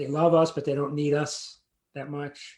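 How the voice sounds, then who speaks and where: A man's dark, mellow tone, fairly high in pitch, fairly slow, with monotone, flat intonation. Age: 60s. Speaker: playwright and actor. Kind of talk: interview conversation. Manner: halting, with many repeated words.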